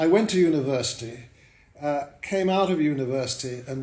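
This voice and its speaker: A man at a fairly quick pace with lively intonation, plus audible room echo. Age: 70s. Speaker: hotel owner. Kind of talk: interview. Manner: hesitant with fillers.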